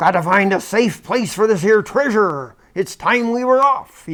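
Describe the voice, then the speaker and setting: A man's loud, bellowing put-on character voice, high-pitched, at a moderate pace. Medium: read story.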